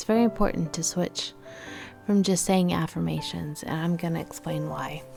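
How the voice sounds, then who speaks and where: A woman speaks at a moderate pace with music playing in the background. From Texas. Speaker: motivational speaker and life coach. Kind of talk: motivational talk to camera.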